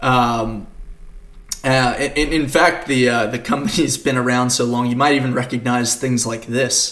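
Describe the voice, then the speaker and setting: Noticeable background noise and audible room echo surround a man at medium pitch. He talks at a moderate pace with fairly even intonation. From Australia, Queensland. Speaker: developer advocate. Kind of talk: conference talk. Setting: home recording for virtual conference. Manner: frequent fillers.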